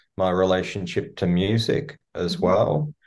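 With an Australian accent, a man speaks in a fairly low pitch at a fairly slow pace against a quiet background. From Melbourne, Australia. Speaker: singer-songwriter. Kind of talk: interview. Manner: thoughtful, hesitant with fillers.

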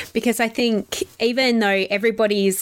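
In an Australian accent, a woman talks at a moderate pace. Her pitch is fairly high. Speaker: podcast host. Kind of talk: casual interview chat. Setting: remote call. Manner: animated.

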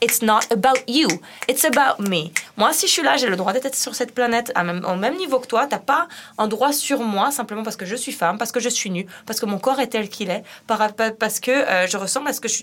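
With a fairly high pitch and lively intonation, a woman talks at a fairly quick pace in an ordinary speaking voice. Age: 30s. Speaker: street artist. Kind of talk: casual chat.

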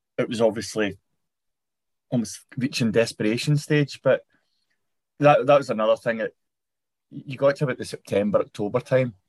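Recorded with a dry, close sound and no echo, a man with a Scottish accent talks at a fairly quick pace and medium pitch. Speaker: podcast host. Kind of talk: casual interview.

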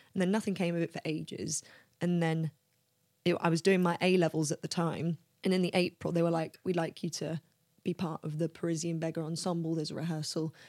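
A woman with a London accent talks at a fairly quick pace in a fairly low pitch, her intonation monotone and flat. The recording is very clean with a silent background and a dry, close sound with no echo. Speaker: talent agent and actor. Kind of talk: casual interview.

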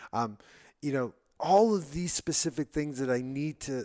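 On a very clean recording with a silent background, a man speaks in a plain, everyday voice at medium pitch and moderate pace, with ordinary pitch variation. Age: 30s. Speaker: entrepreneur, brain surgery patient. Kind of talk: casual interview.

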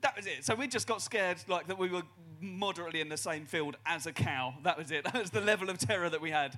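Very fast and lively in intonation, a man speaks at a high pitch with a bright, sharp tone, in a very clean recording with a silent background. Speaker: comedian. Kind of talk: live comedy panel show. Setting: stage with audience.

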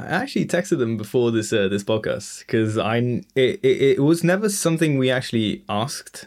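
A man of medium pitch talks at a fairly quick pace with hardly any pauses. His pitch swings very widely. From London, England. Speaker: podcast guest. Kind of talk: casual interview. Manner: halting, hesitant.

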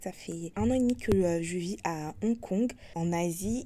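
Dark and mellow in tone, a woman's voice sits at a medium pitch with ordinary pitch variation. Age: 20s. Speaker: podcast host. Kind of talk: casual monologue. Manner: hesitant with fillers.

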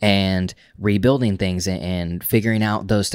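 The intonation stays fairly even, in an unremarkable speaking voice with an American accent. The recording is very clean, with a silent background. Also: man. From Oklahoma, small town. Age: 30s. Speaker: podcast host. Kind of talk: casual chat.

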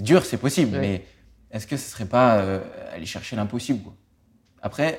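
Long, frequent pauses and big swings in loudness mark a man's medium-pitched voice, delivered at a moderate pace with lively intonation. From France. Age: 20s. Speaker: racing driver. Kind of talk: interview. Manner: hesitant, many repetitions.

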